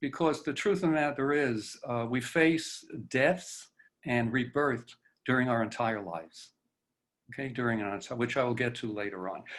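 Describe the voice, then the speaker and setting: Audible room echo surrounds a man talking at a medium pitch and moderate pace with lively intonation. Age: 80s+. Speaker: presenter speaking on death and dying. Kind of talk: lecture. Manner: halting, many fillers.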